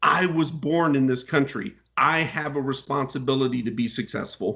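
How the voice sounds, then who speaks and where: Animated and bright, sharp in tone, a man speaks at a moderate pace. His pitch is fairly high, with ordinary variation. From United States. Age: 40s. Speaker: CEO and author. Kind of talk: interview.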